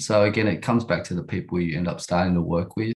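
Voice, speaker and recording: In an Australian accent, a man talks at a very fast pace. His pitch is very deep and low, and his intonation is fairly even. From Sydney, Australia (western suburbs). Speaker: entrepreneur. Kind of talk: interview.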